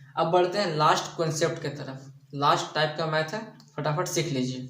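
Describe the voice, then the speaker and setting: A man speaks at a fairly high pitch with fairly even intonation. Audible room echo and noticeable background noise surround him. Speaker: math teacher. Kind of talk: tutorial. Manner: softer than usual, restrained.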